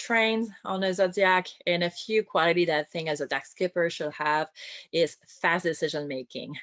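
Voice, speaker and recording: A woman's fairly low voice with a strong French accent, fairly slow and with ordinary pitch variation, in a dry, close sound with no echo and a quiet background. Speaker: boat captain and naturalist. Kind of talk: online talk.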